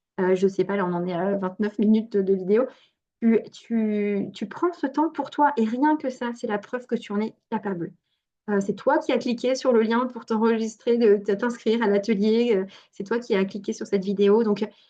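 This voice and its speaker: A woman speaks at a moderate pace in a fairly high voice with a dark, mellow tone and ordinary pitch variation. The background is quiet. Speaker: fertility coach and naturopath. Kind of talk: online workshop talk. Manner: animated.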